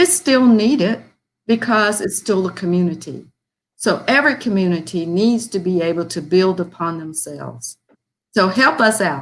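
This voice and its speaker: Using a plain, everyday voice, a woman with an American accent speaks at a moderate pace and medium pitch with lively intonation. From US South (Birmingham, Alabama area). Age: 60s. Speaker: foundation volunteer. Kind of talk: appeal speech.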